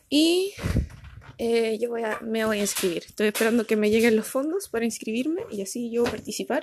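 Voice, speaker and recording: A woman speaks in a Chilean accent with a high pitch at a moderate pace. Her tone is animated and her intonation lively. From Chile, Punta Arenas (Magallanes). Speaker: podcaster and amateur runner. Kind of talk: casual monologue.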